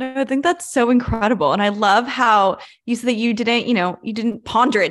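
An unremarkable speaking voice from a woman, fairly high in pitch, at a fairly quick pace with ordinary pitch variation. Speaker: student podcast host. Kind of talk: interview.

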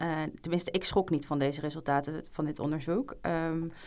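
A woman talks at a fairly quick pace with a fairly low pitch and a plain, everyday voice. The recording is very clean, with a silent background. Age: 20s. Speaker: junior doctor. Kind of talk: casual chat.

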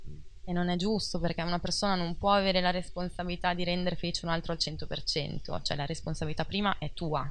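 A woman's fairly low, flat monotone at a very fast pace, with audible room echo. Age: 30s. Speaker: life coach. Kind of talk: casual interview.

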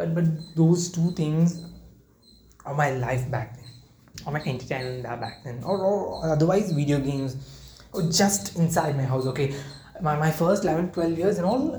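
Audible room echo surrounds a dark, mellow, somewhat breathy voice that moves at a moderate pace with ordinary pitch variation. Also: man. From India, Kerala. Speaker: podcaster. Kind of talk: casual monologue. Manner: halting, many fillers.

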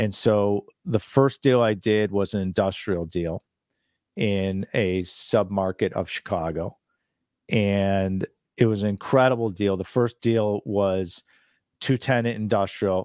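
A man's fairly low voice at a very slow pace, dry and close with no echo. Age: 50s. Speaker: commercial real estate investor. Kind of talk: interview.

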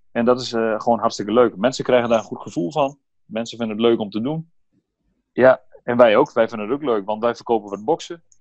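With ordinary pitch variation and a medium pitch, a man talks very fast over a quiet background. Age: 30s. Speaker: entrepreneur, former footballer. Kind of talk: interview. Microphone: laptop instead of phone, sound may differ.

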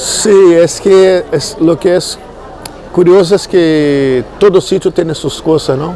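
A man's high voice with a Brazilian accent, very slow pace and fairly even intonation, with audible room echo and noticeable background noise. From Brazil, Niterói near Rio de Janeiro. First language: Portuguese (speaking Spanish). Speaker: musician. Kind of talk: casual interview. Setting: in-person interview filmed with 360 camera.

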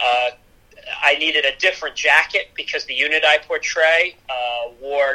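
A man with a Pennsylvania accent at a fairly slow pace. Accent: Pennsylvania American English. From US Northeast (Easton, Pennsylvania). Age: 20s. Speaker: TV news producer. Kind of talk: casual chat.

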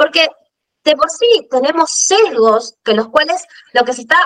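Fairly slow female speech, its pitch swinging very widely. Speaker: podcast co-host, fashion business consultant. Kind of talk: casual chat.

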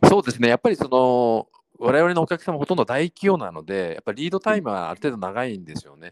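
With a dry, close sound and no echo, a man at a medium pitch speaks very fast with very wide pitch swings. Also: big swings in loudness. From Tokyo, Japan. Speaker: startup CEO. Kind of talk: interview.

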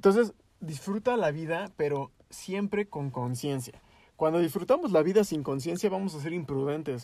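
At a moderate pace, this voice has a dark, mellow tone and lively intonation. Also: man. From Mexico. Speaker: youtuber. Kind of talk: casual chat.

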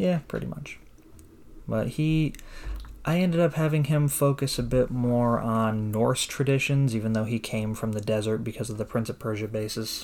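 A man's plain, everyday voice, medium in pitch, with ordinary pitch variation at a moderate pace. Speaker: podcast host. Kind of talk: casual chat.

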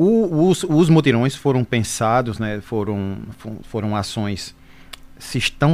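A man speaks in an ordinary speaking voice. His pitch is medium, with ordinary pitch variation. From Brazil, Pernambuco (Caruaru). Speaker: social security agency manager. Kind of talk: radio interview Q&A. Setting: radio studio.

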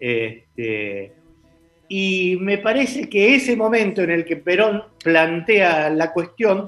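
A man talks with very wide pitch swings. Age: 60s. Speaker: political commentator. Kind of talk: casual political debate.

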